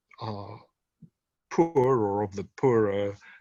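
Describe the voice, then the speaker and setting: With an English accent, a man talks over a quiet background. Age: 70s. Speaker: author and retired doctor. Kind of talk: interview conversation. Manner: hesitant, many fillers.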